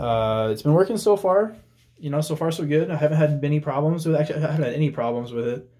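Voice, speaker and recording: A dark, mellow tone in a somewhat breathy male voice. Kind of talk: casual show-and-tell tour. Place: workshop. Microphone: phone near.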